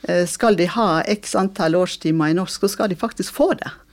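Fairly slow in pace, an unremarkable speaking voice moves through ordinary pitch variation. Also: woman. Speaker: former school district director. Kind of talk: interview.

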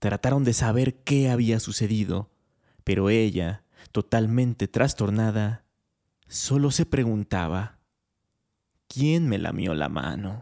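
The voice is dark and mellow, with lively intonation, a very slow pace and long, frequent pauses. The sound is dry and close with no echo, very clean against a silent background. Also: man, fairly low pitch for a man. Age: 20s. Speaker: podcast host. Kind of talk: storytelling narration; casual monologue.

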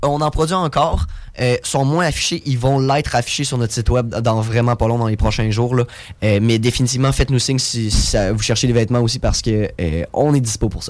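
With a Quebec accent, a man talks at a fairly quick pace in a medium pitch. His pitch varies in an ordinary way, and noticeable background noise is present. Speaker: tech entrepreneur. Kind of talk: interview.

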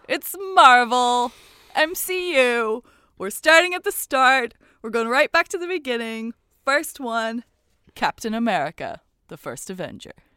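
A woman talks at a fairly slow pace with a high pitch, very wide pitch swings and big swings in loudness. The sound is dry and close with no echo. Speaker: podcast co-host. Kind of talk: casual chat. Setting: remote recording in a cupboard. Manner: animated, gets hyped up.

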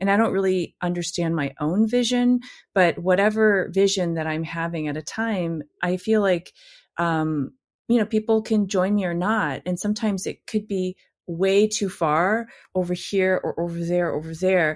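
A woman with an unremarkable speaking voice and an American accent talks at a medium pitch and moderate pace with ordinary pitch variation, in a very clean recording with a silent background. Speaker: poet and writer. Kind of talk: casual interview chat.

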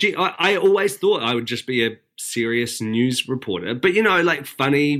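A man with a New Zealand accent, bright and sharp in tone, with lively intonation at a moderate pace. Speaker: breakfast TV weather presenter. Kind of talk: casual chat.

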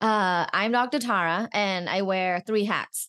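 A woman speaks with lively intonation and a Thai accent. The background is quiet. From Thailand. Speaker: sex educator and researcher. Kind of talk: casual interview chat.

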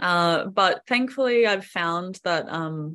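Against a quiet background, a woman with an Australian accent speaks at a fairly low pitch. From Queensland, Australia. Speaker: singer-songwriter and videographer. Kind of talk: interview.

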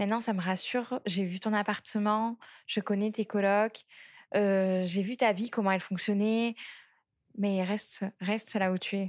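A woman speaks at a medium pitch with a monotone, flat intonation and a fairly slow pace. The recording is very clean, with a silent background. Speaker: co-host. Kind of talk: casual interview.

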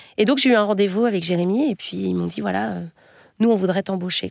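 A woman at a fairly quick pace on a very clean recording with a silent background. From western France, Nantes area. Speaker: tour manager for comedy shows. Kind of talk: interview. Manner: hesitant.

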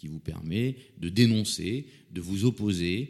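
Here a man talks at a fairly slow pace with a fairly low pitch. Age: 50s. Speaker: lawyer. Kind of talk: interview. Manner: repetitive stammering restarts.

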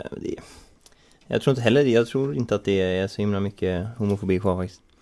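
Here a man talks at a fairly quick pace in a dark, mellow tone. His fairly low voice has ordinary pitch variation. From Sweden. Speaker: podcast co-host. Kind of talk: casual chat. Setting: studio.

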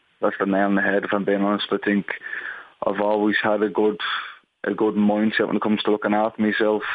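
Monotone, flat intonation at a moderate pace, in an Irish accent. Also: man. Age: 30s. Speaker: footballer. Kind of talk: interview. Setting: phone call.

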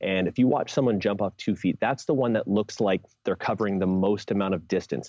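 A man speaks at a moderate pace in an ordinary speaking voice with a fairly low pitch. His pitch variation is ordinary, and the sound is dry and close with no echo. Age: 30s. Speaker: strength coach and jump specialist. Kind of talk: podcast interview.

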